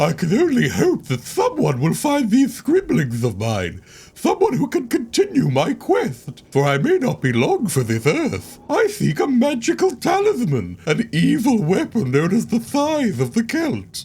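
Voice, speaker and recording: A man's put-on character voice at a high pitch. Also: moderate pace. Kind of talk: read-aloud journal entry. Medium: video game. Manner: solemn, archaic phrasing.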